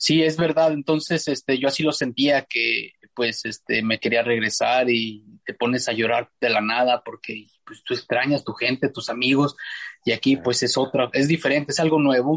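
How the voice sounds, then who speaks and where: Here is a man with an ordinary speaking voice, medium pitch and fairly even intonation. He speaks at a moderate pace, and the sound is dry and close with no echo. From Mexico, Zacatecas (Fresnillo). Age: 50s. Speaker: ultramarathon trail runner. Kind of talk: interview conversation. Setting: remote call.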